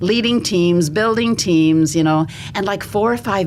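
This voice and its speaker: Noticeable background noise and audible room echo surround a woman talking at a moderate pace with lively intonation. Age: 60s. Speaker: pastor, writer and Bible teacher. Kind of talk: podcast interview.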